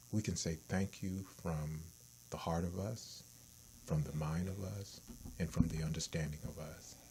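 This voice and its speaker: A man's very deep, low, somewhat breathy voice with a dark, mellow tone, fairly even intonation, a fairly slow pace and long, frequent pauses. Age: 60s. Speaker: talk show host. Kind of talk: casual chat.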